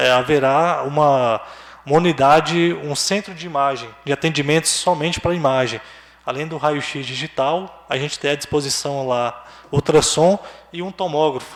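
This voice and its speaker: This man has a fairly high pitch and a normal speaking voice. He talks at a fairly slow pace with ordinary pitch variation. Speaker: hospital administrative director. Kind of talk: public meeting presentation.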